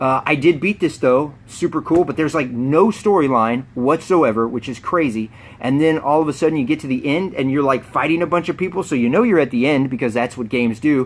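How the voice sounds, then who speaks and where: Speaking at a fairly quick pace with hardly any pauses, a man talks in a fairly high pitch. His pitch variation is ordinary. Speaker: video game unboxing youtuber. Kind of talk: casual vlog talk to camera. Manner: fast.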